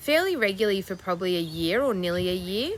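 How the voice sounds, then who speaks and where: A woman's fairly low voice at a moderate pace, with an Australian accent. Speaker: crochet vlogger. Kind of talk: casual chat.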